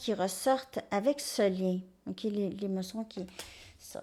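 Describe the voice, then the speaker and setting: In a strong Quebec accent, a woman talks at a very slow pace on a very clean recording with a silent background. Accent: strong Québécois French. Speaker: tarot reader. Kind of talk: tarot reading monologue.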